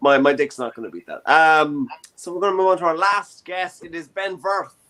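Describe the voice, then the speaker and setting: A man with a Dublin accent speaks at a fairly quick pace and a high pitch, his tone bright and sharp. His loudness swings widely while his pitch variation is ordinary. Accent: Irish (Dublin). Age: 20s. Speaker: comedy show host. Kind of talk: casual chat. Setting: online show from his bedroom.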